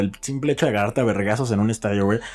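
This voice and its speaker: A man's voice with ordinary pitch variation. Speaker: podcast co-host and producer. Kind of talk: casual chat.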